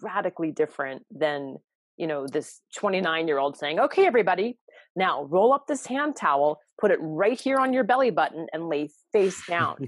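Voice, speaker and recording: Against a quiet background, a woman with an ordinary speaking voice talks at a moderate pace with lively intonation. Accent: American. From US Southwest, Santa Fe New Mexico. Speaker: self-care educator and author. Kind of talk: interview conversation.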